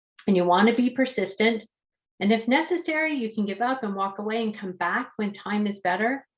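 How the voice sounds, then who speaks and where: Speaking with a Canadian accent, a woman has a fairly high pitch and a fairly quick pace. It is a plain, everyday voice. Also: ordinary pitch variation. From Canada. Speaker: speech-language pathologist and researcher. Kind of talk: lecture.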